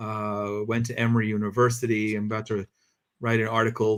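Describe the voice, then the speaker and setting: The man has a fairly low pitch and monotone, flat intonation. The recording is very clean, with a silent background. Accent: American. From US, New Jersey. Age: 50s. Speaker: journalist, foundation president. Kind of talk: interview.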